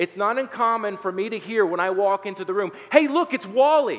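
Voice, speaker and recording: Over noticeable background noise, a man speaks fairly quickly with ordinary pitch variation. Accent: American. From southern Ohio, Appalachia. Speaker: pastor. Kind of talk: sermon. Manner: hesitant fillers, conversational.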